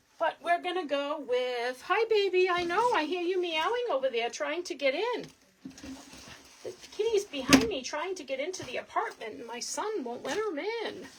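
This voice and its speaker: A woman's extremely high voice in a strong Boston accent, with very wide pitch swings, big swings in loudness, a moderate pace and noticeable background noise. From Boston, Massachusetts. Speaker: wreath crafter. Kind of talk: live craft tutorial. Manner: chatty, casual.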